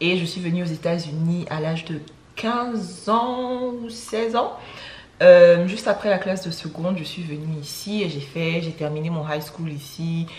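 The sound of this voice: With audible room echo, a woman speaks at a fairly slow pace and fairly low pitch, her slightly mellow tone showing ordinary pitch variation.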